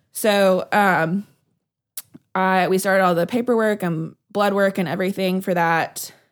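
With very even loudness and fairly even intonation, a woman speaks at medium pitch at a fairly slow pace. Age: 30s. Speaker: podcast host. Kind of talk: casual chat.

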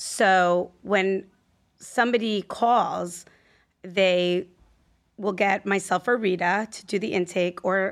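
An unremarkable speaking voice from a woman, with ordinary pitch variation, on a very clean recording with a silent background. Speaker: healthcare business development director. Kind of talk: interview.

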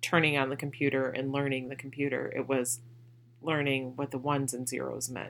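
This woman's voice sits at a very deep, low pitch. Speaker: podcast host and mother. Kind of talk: casual chat. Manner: loud.

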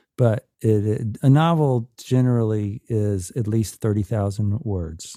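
With an American accent, a man speaks at a fairly slow pace in a fairly low pitch, his tone dark and mellow, his pitch variation ordinary, and the sound dry and close with no echo on a very clean recording with a silent background. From US South, Atlanta, Georgia. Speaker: musician and author. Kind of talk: casual chat.

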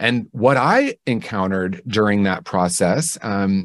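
Recorded with a dry, close sound and no echo, a man in a normal speaking voice with an American accent speaks at a fairly low pitch with ordinary pitch variation. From Indiana, US Midwest. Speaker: clinician and author. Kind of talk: interview.

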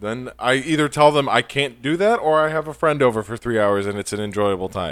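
A man with an American accent talks in a normal speaking voice at a medium pitch, fairly quickly and with hardly any pauses. His intonation is lively, and the recording is very clean with a silent background. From New York. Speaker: podcast guest. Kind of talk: casual chat.

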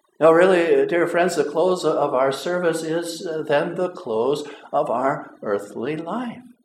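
A very slow pace with audible room echo. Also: man, high pitch for a man, lively intonation. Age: 50s. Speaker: pastor who also drives a school bus. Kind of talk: sermon. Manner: halting, repeats words often.

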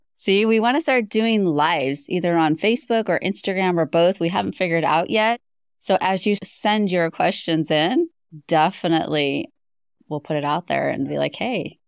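In a normal speaking voice, a woman talks at a moderate pace with lively intonation and fairly low pitch, the sound dry and close with no echo. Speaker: podcast host. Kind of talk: casual recap chat. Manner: warm, grateful.

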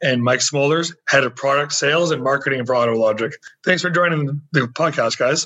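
A man speaks at a fairly quick pace in a normal speaking voice, his pitch fairly high. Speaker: podcast host and magazine owner. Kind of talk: interview.

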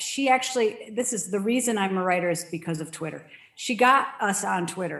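With noticeable background noise around her, a woman in an American accent speaks at a moderate pace. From Connecticut, US Northeast (Danbury). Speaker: novelist. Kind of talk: casual chat.

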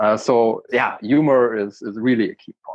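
The speaker has a German accent. The pace is fairly slow. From eastern Germany. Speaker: project manager and charity chairman. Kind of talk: interview.

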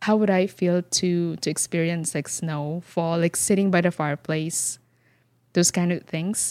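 Fairly low-pitched woman with a Filipino accent, monotone, flat intonation and a fairly slow pace, dry, close sound with no echo, very clean recording, silent background. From Philippines. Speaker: flower farmer and business owner. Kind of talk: interview.

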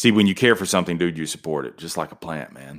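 A man's animated, very fast delivery with vocal fry, on a very clean recording with a silent background. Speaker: podcast host. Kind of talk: pep talk. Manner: animated, emphatic, rapid-fire motivational delivery; repetitive, punchy, conversational.

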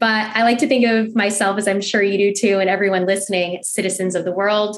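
A woman speaks at a fairly quick pace with a medium pitch. Her voice shows little pitch movement.

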